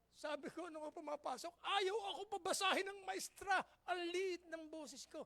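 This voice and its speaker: The voice is loud and animated. It moves at a moderate pace. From Philippines. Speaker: pastor. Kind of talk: sermon.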